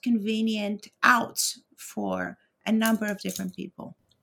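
Fairly high and somewhat breathy, a woman's voice moves at a fairly slow pace. The recording is very clean, with a silent background. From Europe. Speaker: media scholar, professor. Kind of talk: interview conversation.

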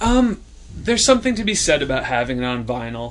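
The delivery is very fast. Noticeable background noise runs underneath. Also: man. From rural small farming town. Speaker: sketch comedian. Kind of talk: casual chat.

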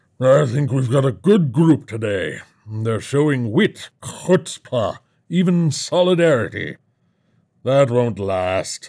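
A man at medium pitch does a put-on character voice with very wide pitch swings at a fairly slow pace. The recording is very clean, with a silent background. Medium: read story. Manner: jovial, complacent, callously amused.

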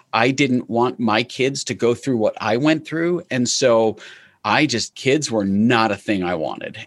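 In an American accent, a man speaks at a fairly slow pace and medium pitch with ordinary pitch variation, an ordinary speaking voice over a quiet background. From New York. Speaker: entrepreneur. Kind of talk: interview.

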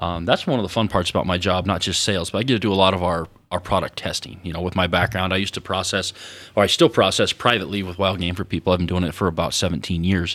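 A man speaks very fast in a very deep, low pitch. The recording is very clean, with a silent background. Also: fairly even intonation. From Fremont County, Wyoming. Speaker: seasoning company sales manager. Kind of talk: radio interview. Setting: radio studio.

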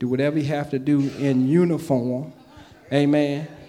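This man's voice is fairly high in pitch, delivered in a monotone with flat intonation. Audible room echo surrounds the speech. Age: 50s. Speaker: pastor. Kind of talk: sermon. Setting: church.

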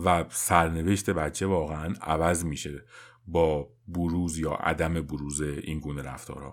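Very deep and low, the man's voice moves at a fairly slow pace. His intonation is monotone and flat, and the recording is very clean with a silent background. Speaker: parenting podcast host. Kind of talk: scripted narration.

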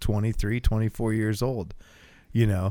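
A man with an American accent speaks at a fairly quick pace in a plain, everyday voice, pitched fairly low. The recording is very clean, with a silent background. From US, small town. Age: 30s. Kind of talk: casual chat. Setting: home garage.

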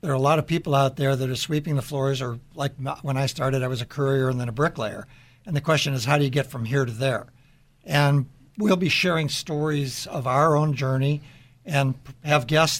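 A man with an American accent speaks in a fairly high, somewhat breathy voice with fairly even intonation, on a very clean recording with a silent background. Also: fairly quick pace. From Chicago area, Illinois. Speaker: business CEO, radio co-host. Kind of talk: casual panel chat. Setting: studio.

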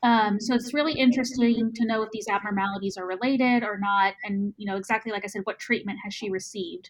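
A woman with a Texan accent, somewhat breathy, fairly high in pitch, with fairly even intonation. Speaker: podcast host. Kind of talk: casual medical podcast discussion.

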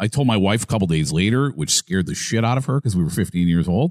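This man has a fairly low pitch and an American accent, with very wide pitch swings. The recording is very clean, with a silent background. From Massachusetts. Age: 40s. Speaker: sports radio host. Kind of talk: casual interview.

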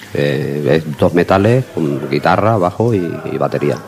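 A man talks over noticeable background noise. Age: middle-aged. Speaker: blues guitarist and bandleader. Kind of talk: interview.

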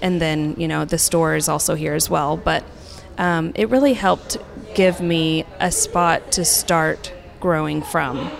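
With noticeable background noise, a woman speaks at a fairly slow pace in an American accent. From Oklahoma, Tulsa. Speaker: interior designer. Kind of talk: casual interview. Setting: public park, outdoors.

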